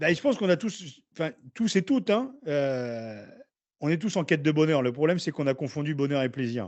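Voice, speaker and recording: An ordinary speaking voice at a fairly quick pace with lively intonation. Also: man, fairly high pitch for a man. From northern France, Picardy (Beauvais area). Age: 40s. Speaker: former rugby player. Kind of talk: podcast interview. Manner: casual.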